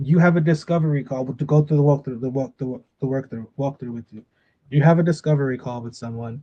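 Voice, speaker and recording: This man's voice is somewhat breathy, with a dark, mellow tone and fairly high pitch, moving at a fairly quick pace with fairly even intonation and big swings in loudness. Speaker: business trainer. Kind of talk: training session.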